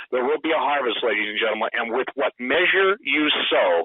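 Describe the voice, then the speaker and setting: Male speaker, moderate speed. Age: 60s. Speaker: radio guest and author. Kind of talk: radio interview. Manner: animated.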